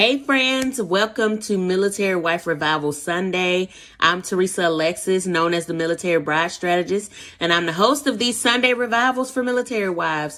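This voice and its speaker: Lively in intonation, the voice has a bright, sharp tone and moves at a fairly quick pace. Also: woman, medium pitch for a woman. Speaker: online community host for military wives. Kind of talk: casual livestream talk. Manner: chatty.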